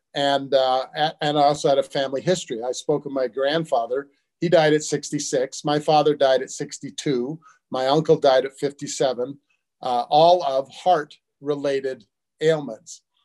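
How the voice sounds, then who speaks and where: Against a quiet background, a man speaks at a fairly slow pace in a monotone, flat intonation. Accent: American. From US West (Utah). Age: 70s. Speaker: supplement company founder. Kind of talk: interview. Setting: video call from home. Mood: earnest, personal storytelling. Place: home room. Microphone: video call.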